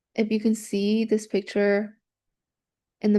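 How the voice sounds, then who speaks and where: In a Spanish accent, a woman speaks at a moderate pace and medium pitch with a dark, mellow tone. Her intonation is monotone and flat, over a quiet background. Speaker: university student presenting study abroad. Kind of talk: student presentation. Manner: hesitant, many fillers.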